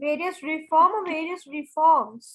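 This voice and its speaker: The speaker is a woman. Her voice sits high in pitch. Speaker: school teacher. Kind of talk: online class lesson.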